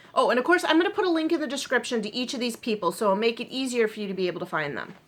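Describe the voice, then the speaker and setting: A high-pitched woman's voice at a very fast pace, with very wide pitch swings and noticeable background noise. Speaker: knitting and crochet vlogger. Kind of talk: casual chat.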